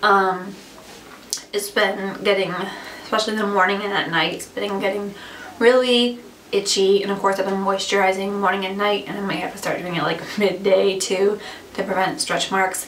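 Monotone, flat intonation runs at a moderate pace over noticeable background noise. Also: woman, medium pitch for a woman. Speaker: vlogger. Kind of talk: casual vlog monologue. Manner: filler-heavy, chatty.

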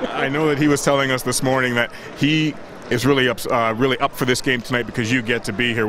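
A man's voice with fairly even intonation, dry with no echo, over noticeable background noise. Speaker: sports reporter. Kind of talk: TV sports interview. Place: stadium. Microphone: handheld.

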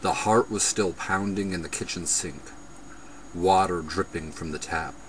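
The man's voice is very deep and low, with fairly even intonation. The sound is dry with no echo, and there is light background noise. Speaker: poet reading own poems. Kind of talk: poetry reading, performed poem. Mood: intense, brooding. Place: home room. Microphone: webcam.

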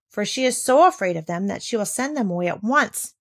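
A text is read aloud in a natural voice. Its intonation moves in a lively way.

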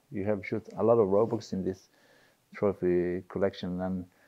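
Against a quiet background, a man with a Swedish accent speaks at a fairly low pitch in a monotone, flat delivery. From Sweden. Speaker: gamekeeper; guest. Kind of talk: casual chat. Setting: hunting cabin. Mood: relaxed, friendly. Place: home room.

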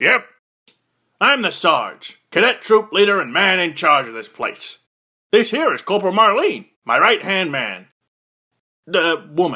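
In a raised, projected cartoonish character voice, a man speaks at a high pitch and a fairly slow pace, with very wide pitch swings and long, frequent pauses. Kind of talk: military drill-sergeant parody. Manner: gruff, barking, pompous.

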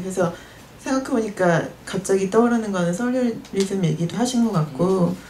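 The intonation is lively. Light background noise can be heard. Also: woman. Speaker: media artist; panelist. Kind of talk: panel discussion. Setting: live event with audience. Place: shop. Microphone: handheld.

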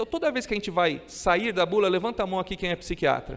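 A fairly quick delivery from a man, high in pitch, with ordinary pitch variation. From Brazil. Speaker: psychiatrist lecturer. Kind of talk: conference lecture. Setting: stage with audience. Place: hall. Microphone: podium.

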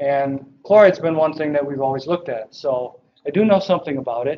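With light background noise behind him, a man speaks at a moderate pace with fairly even intonation. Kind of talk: lecture. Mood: relaxed, joking. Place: classroom.

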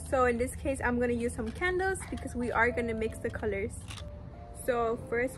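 A woman talks at a moderate pace. Clear music can be heard in the background. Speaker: DIY creator. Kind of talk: tutorial. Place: garden. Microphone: phone near.

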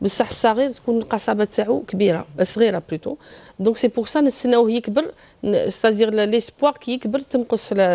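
Moderate-paced speech from a woman with an Algerian accent, a dark, mellow tone and ordinary pitch variation. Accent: Algerian Arabic with French code-switching. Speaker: pediatric surgeon; guest. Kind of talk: TV health interview. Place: studio. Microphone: lapel.

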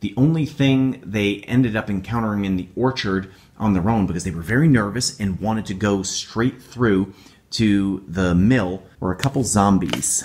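Speaking with an American accent, a man uses a plain, everyday voice at a fairly low pitch, with ordinary pitch variation and a moderate pace. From upstate New York. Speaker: YouTuber and tabletop game master. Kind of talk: tutorial. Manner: casual.

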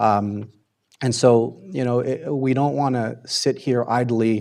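In an American accent, a man speaks at a medium pitch. His intonation stays fairly even. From Southern California. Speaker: public commenter. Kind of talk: public comment at council meeting. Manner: halting, many fillers.

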